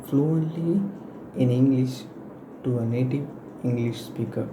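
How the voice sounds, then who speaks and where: A man's very slow speech with fairly even intonation, audible room echo and noticeable background noise. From Malaysia. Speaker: university student. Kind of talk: class presentation. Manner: halting, with many fillers.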